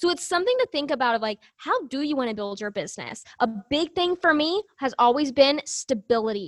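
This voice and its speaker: A woman with an American accent speaks fairly quickly in a high pitch with lively intonation, in a dry, close sound with no echo. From Arkansas, US South. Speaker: business coach. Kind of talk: interview.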